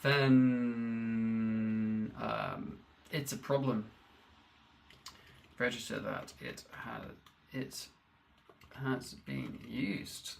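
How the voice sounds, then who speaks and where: A man mumbles with fairly even intonation in a room with audible echo. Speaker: programmer. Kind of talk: live-coding stream. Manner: mumbling; halting.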